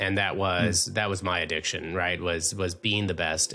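A man with an American accent speaks at a very deep, low pitch in a bright, sharp tone, recorded very cleanly against a silent background. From Minnesota. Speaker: podcast host. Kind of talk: interview.

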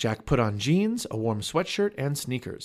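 A natural voice reading aloud.

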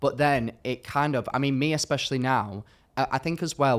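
A man speaks with a British accent at a fairly quick pace. The recording is very clean, with a silent background. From UK. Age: 20s. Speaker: social media content creator. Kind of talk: casual chat. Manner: animated.

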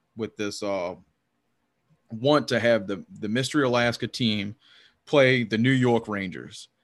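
A man with a Louisiana accent speaks at a medium pitch and a moderate pace. His intonation stays fairly even on a very clean recording with a silent background. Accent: Southern US (Louisiana). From US South, Louisiana. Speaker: hockey podcaster. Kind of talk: casual chat.

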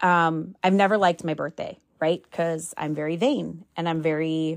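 Against a quiet background, a woman with a plain, everyday voice speaks fairly slowly at a fairly low pitch, her intonation fairly even. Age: 40s. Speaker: podcast host. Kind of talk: casual solo monologue.

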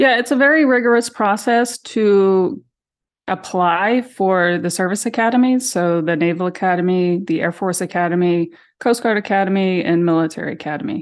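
With an American accent and lively intonation, a woman speaks at a medium pitch and moderate pace in an ordinary speaking voice over a quiet background. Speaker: sister of missing woman. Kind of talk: interview.

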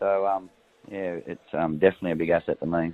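This is a man speaking. He has a rural Australian accent. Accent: Australian, country. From rural New South Wales, Australia. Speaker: racehorse trainer. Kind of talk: casual interview chat. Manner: relaxed, casual.

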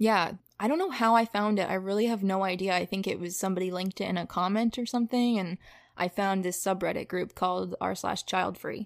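A woman speaks with an unremarkable speaking voice at medium pitch and a fairly quick pace, keeping her intonation fairly even. The recording is very clean with a silent background and a dry, close sound with no echo. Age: 20s. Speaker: podcast guest sharing personal story. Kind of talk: casual interview chat.

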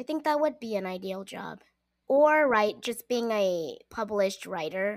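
On a very clean recording with a silent background, a woman with a fairly high pitch and lively intonation speaks at a fairly slow pace. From US Pacific Northwest (Seattle), Korean-American. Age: 30s. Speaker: tech company legal worker, person with dwarfism. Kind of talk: casual interview chat.

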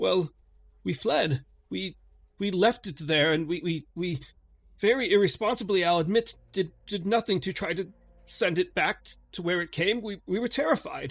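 A man in a put-on character voice speaks at a moderate pace with a high, shaky pitch, leaving long, frequent pauses over faint background music. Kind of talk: 1920s formal speech. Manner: weak, shaky, remorseful, confessional.

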